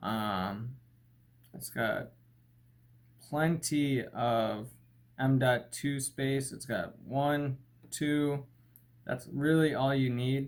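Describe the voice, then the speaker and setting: A man speaks very slowly at a medium pitch, with ordinary pitch variation. He leaves long, frequent pauses. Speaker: tech reviewer. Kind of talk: casual tech unboxing talk to camera. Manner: stutters, hesitant with fillers.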